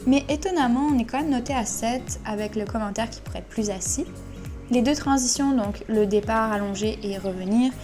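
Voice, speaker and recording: Background music can be heard. Over it, a woman talks at a moderate speed. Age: 20s. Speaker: dressage rider. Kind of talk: voice-over commentary on a competition video. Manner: casual, conversational.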